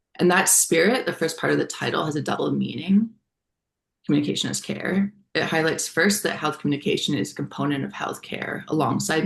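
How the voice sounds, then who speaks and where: Woman with a fairly low pitch and vocal fry, at a fairly quick pace. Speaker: researcher presenting a project. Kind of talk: lecture. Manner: formal.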